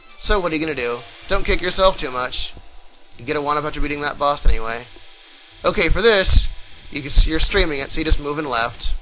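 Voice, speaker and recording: At a very fast pace broken by long, frequent pauses, a man speaks with fairly high pitch and ordinary pitch variation. His loudness swings widely over noticeable background noise. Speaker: video game let's play commentator. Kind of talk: gameplay tutorial commentary.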